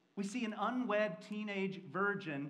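With an American accent, a man speaks at a high pitch with a fairly bright tone and ordinary pitch variation, amid strong room echo.

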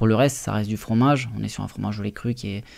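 The background stays quiet. A man's intonation is fairly even. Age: 20s. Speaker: restaurant owner; guest. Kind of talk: radio interview. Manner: halting, many fillers. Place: studio. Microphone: studio mic.

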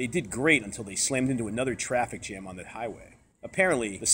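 The text is read in a natural reading voice.

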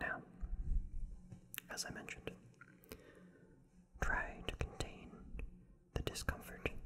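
Soft-spoken whispering over light background noise. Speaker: tarot reader. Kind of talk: tarot reading monologue. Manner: slow, soft ASMR whisper.

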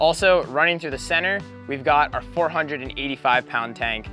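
A man's voice, dry with no echo, over faint music in the background. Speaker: boat reviewer. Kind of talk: product walkthrough. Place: boat. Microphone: lapel.

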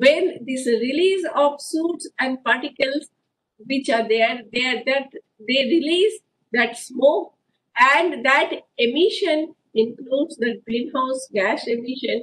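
A woman talks at a very slow pace. Her pitch is high, with ordinary variation. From India. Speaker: professor. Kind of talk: lecture. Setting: video call. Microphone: video call.

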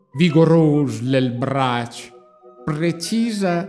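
With music in the background, a man in a Marche accent speaks very slowly at a high pitch with lively intonation. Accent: Pesaro dialect. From Pesaro, Italy. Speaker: street performer. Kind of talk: dialect poetry reading. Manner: relaxing, hypnotic.

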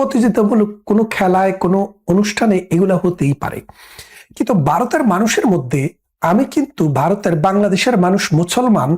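A man's high-pitched voice with lively intonation. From Bangladesh. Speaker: political commentator. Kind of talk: political commentary monologue.

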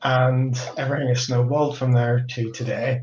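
A somewhat breathy man speaks at a fairly quick pace, with audible room echo. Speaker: host. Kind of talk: event opening remarks. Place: home room.

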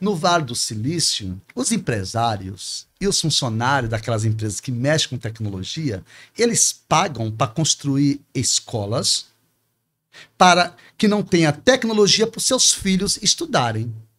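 Talking at a fairly slow pace, a man with a fairly high voice makes very wide pitch swings. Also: quiet background. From Espírito Santo, then Pará, Brazil. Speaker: teacher and politician. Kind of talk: interview answer. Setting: studio. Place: studio. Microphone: studio mic.

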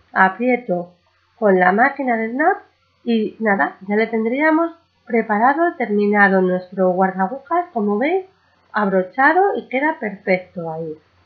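A woman's fairly high pitch at a fairly slow pace, with lively intonation

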